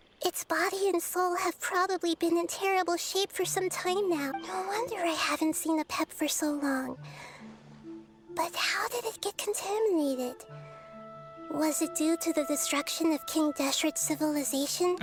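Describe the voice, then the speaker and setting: A female-sounding put-on character voice at an extremely high pitch, moderate pace, with clear music in the background. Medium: game stream. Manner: calm, thoughtful.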